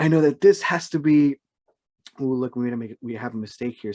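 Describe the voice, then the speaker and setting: A man's dark, mellow tone at medium pitch, fairly quick in pace, with ordinary pitch variation and a dry, close sound with no echo. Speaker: schoolteacher. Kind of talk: tutorial.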